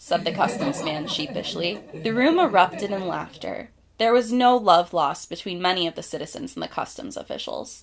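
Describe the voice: The speaker is engaged in plain reading aloud.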